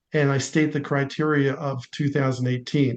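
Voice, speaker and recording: A man's fairly high voice in a monotone, flat intonation, at a moderate pace. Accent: Philadelphia. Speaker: home inspector. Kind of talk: online meeting discussion.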